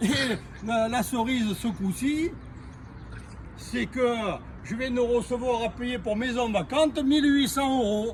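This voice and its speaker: With a Marseille accent and an extremely high pitch, a man speaks at a very slow pace with long, frequent pauses and ordinary pitch variation over noticeable background noise. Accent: sing-song Marseille. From Provence, near Marseille. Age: 60s. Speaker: homeowner interviewee. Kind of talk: interview.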